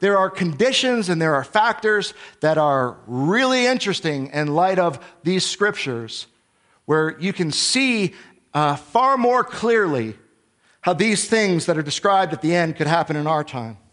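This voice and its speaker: A man speaks at a high pitch and a moderate pace. His pitch swings very widely. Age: 40s. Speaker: Bible teacher. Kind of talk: sermon.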